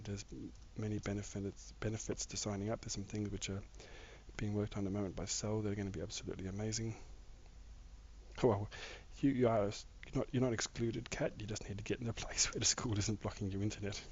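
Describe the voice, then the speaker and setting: Talking at a very fast pace, a man uses a fairly low pitch with monotone, flat intonation and a somewhat breathy quality. He leaves long, frequent pauses. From Australia, Victoria. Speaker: gaming live streamer. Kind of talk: casual live stream chat while gaming. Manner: halting, many fillers.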